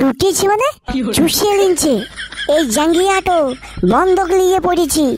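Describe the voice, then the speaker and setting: Using a cartoonish character voice at an extremely high pitch, a woman speaks at a fairly slow pace with lively intonation. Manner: sarcastic, quick-witted.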